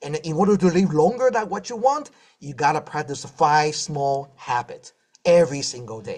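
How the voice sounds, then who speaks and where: A man talks at a moderate pace in a fairly high pitch. His tone is animated, with lively intonation and big swings in loudness. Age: 60s. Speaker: health speaker, doctor. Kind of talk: inspirational health talk with Q&A. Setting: live stream.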